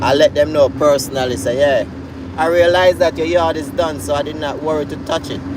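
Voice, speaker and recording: Over noticeable background noise, a man with a Jamaican accent talks at a fairly quick pace in a fairly high pitch. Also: lively intonation. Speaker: YouTuber and lawn care worker. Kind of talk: casual vlog monologue. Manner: animated storytelling.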